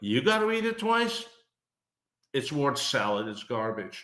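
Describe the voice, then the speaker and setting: Audible room echo fills the space. A man's intonation in it is lively. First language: not English. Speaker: business thought leader, podcast co-host. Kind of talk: casual podcast conversation.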